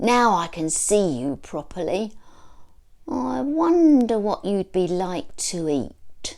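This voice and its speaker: A female-sounding voice bellows in a gruff, put-on character voice at a middle pitch and a very slow pace. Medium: read story. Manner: gruff, roaring.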